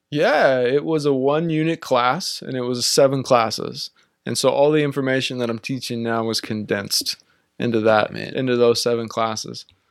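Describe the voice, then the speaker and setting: A man with an American accent speaks in a plain, everyday voice. His pitch is medium, his pace moderate, and his pitch variation ordinary. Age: 30s. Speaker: psychology professor and therapist. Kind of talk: interview.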